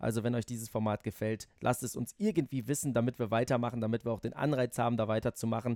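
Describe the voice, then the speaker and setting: In a very clean recording with a silent background and a dry, close sound with no echo, a man with an ordinary speaking voice speaks at medium pitch with fairly even intonation. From Netherlands. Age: 30s. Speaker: motorsport journalist and podcast host. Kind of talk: casual interview.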